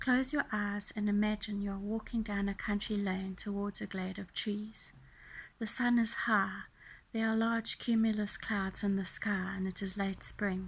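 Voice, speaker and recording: A somewhat breathy woman at a medium pitch, monotone and flat in intonation, at a moderate pace, on a very clean recording with a silent background. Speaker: tarot reader. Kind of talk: guided meditation reading.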